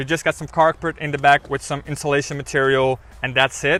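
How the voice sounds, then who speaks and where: A man with a Dutch accent talks at a fairly quick pace in a bright, sharp tone. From Netherlands. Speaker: car reviewer. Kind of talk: product review. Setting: in a car. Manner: casual.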